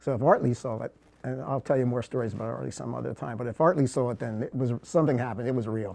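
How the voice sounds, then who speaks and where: A man speaks at a very fast pace with vocal fry. His pitch sits in the medium range. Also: ordinary pitch variation. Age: 70s. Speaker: war veteran. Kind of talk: casual interview.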